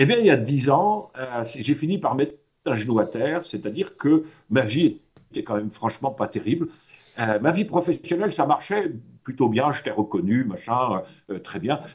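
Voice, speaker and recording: Speaking at a moderate pace, a man with a fairly high voice sounds somewhat breathy and swings his pitch very widely. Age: 60s. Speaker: personal development trainer. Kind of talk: talk to a workshop audience. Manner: hesitant, many fillers; casual, conversational.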